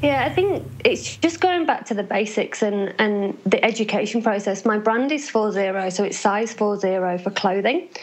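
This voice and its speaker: A woman's fairly high voice, lively in intonation, at a fairly slow pace with hardly any pauses, over noticeable background noise. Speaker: business founder, former nurse. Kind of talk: interview. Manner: loud.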